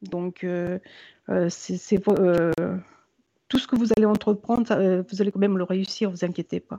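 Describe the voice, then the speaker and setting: A woman with a medium pitch and a dark, mellow tone speaks at a moderate pace with fairly even intonation. Long, frequent pauses break up her speech, and the sound is dry and close with no echo. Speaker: psychic medium. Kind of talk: live psychic reading. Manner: halting.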